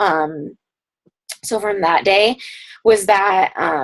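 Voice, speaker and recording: This woman's voice sits at a medium pitch. Her pitch varies in an ordinary way. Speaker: fitness coaching team leader. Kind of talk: team conference call. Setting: group call. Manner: fast.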